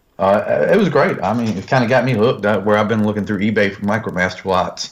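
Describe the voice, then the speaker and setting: With a Southern US accent, a man talks at a very fast pace in a fairly low voice. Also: fairly even intonation. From US South, northern North Carolina. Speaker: YouTube toy reviewer. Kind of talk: casual chat.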